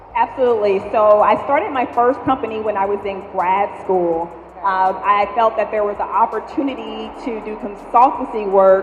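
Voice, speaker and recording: Noticeable background noise and audible room echo surround a woman with a fairly high pitch. She talks at a moderate pace with ordinary pitch variation and barely pauses. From Louisiana, near New Orleans. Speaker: startup founder. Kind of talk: panel interview. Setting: stage with audience. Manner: loud.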